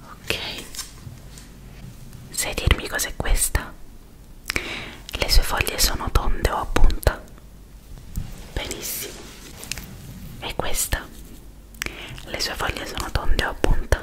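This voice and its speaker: A woman whispers at a very slow pace, with long, frequent pauses. Her loudness swings widely. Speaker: ASMR creator. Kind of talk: ASMR roleplay, attention test. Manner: soft, whispery, intimate.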